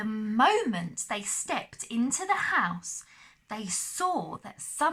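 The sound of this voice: The reading comes in an unforced reading voice.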